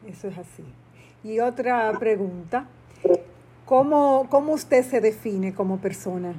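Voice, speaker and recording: A woman speaks at a fairly slow pace with long, frequent pauses and big swings in loudness. Her fairly high, somewhat breathy voice has a dark, mellow tone and ordinary pitch variation. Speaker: podcast host. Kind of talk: interview.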